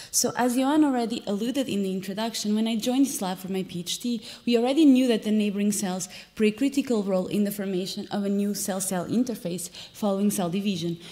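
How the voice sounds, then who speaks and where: The speech comes at a very fast pace. Its pitch variation is ordinary. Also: woman. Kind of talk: lecture. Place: hall.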